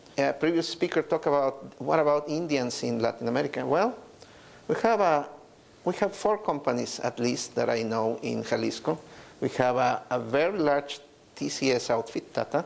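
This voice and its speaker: A man with a Mexican accent at a moderate pace. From Mexico. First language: Spanish. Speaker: business executive. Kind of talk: conference talk. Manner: hesitant, many fillers and repetitions.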